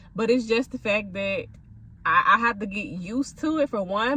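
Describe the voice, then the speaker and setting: A woman speaks with a fairly high pitch and ordinary pitch variation. Noticeable background noise is present. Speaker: content creator and food vlogger. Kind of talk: casual vlog rant.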